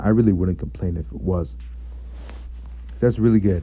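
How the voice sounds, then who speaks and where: A man with a dark, mellow tone speaks in a somewhat breathy, strained voice. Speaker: gaming YouTuber. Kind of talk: game commentary and breakdown. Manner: restrained volume. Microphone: blanket over head to reduce echo.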